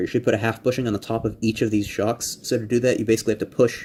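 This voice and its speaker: Very fast and monotone, a man delivers flat intonation at a medium pitch. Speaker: Lego hobbyist builder. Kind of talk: tutorial. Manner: casual, hesitant with fillers.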